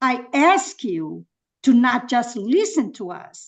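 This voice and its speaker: Against a quiet background, a woman with a non-native accent speaks very slowly in a high voice. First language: not English. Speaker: public commenter at planning meeting. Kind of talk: public comment. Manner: halting; impassioned.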